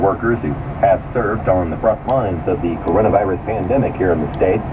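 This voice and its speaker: There is noticeable background noise as a man talks at a fairly quick pace. His pitch is very deep and low, with ordinary variation. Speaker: radio news reader. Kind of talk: local radio newscast.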